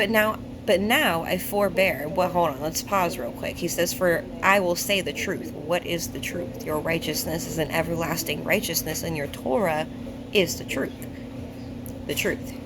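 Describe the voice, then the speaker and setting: A woman talks at a fairly low pitch with lively intonation. Noticeable background noise and audible room echo surround her voice. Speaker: bible teacher. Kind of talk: bible study talk. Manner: slow; halting.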